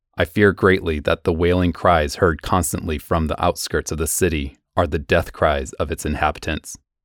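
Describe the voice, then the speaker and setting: A man's very deep, low voice with a dramatic tone and fairly even intonation, at a moderate pace with hardly any pauses, in a dry, close sound with no echo. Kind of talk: horror radio narration, reading aloud a classic story. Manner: tense, urgent, hushed dread, building panic; measured, dramatic.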